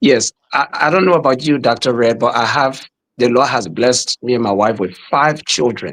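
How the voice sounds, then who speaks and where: Moderate pace in a Liberian accent, with very even loudness, ordinary pitch variation, and a dry, close sound with no echo. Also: man, medium pitch for a man. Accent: Liberian accent, kept. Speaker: pastor and podcast host. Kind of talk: podcast interview.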